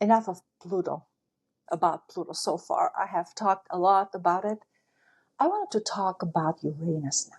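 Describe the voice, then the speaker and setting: A non-native accent with big swings in loudness and long, frequent pauses. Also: woman, medium pitch for a woman, ordinary pitch variation, moderate pace. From outside the United States. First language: not English. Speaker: astrology teacher. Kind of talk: casual talk.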